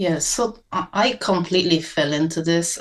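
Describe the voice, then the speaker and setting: Over a quiet background, a woman with a Japanese accent talks at a moderate pace in a very deep, low voice. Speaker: cinematographer. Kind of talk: interview. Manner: halting.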